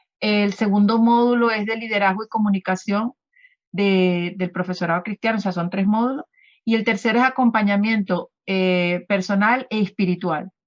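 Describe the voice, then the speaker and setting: A woman's medium-pitched voice moves at a moderate pace with fairly even intonation. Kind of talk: radio interview. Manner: halting, many fillers.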